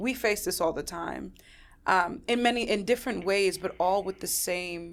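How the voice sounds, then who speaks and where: A woman speaks at a moderate pace in a medium pitch, with ordinary pitch variation. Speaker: podcast host and survivor advocate. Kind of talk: interview conversation. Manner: loud; direct.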